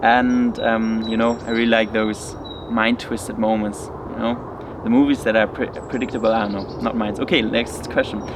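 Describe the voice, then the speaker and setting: A man with a non-native accent speaks at a moderate pace and medium pitch, his intonation monotone and flat, over noticeable background noise. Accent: non-native English speaker. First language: German. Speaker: study vlogger. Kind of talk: casual Q&A vlog. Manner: hesitant, many fillers.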